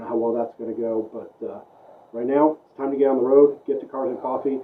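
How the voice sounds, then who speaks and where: Over noticeable background noise, a soft-spoken man talks at a very fast pace. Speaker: car vlogger and event organizer. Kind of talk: vlog. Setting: early morning at home, then in a car. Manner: soft-spoken, quiet.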